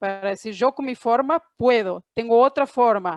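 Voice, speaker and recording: Recorded dry and close with no echo against a quiet background, a woman speaks with a fairly high voice. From Argentina, Córdoba. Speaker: panelist, trade professional. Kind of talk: panel discussion. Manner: hesitant, many fillers.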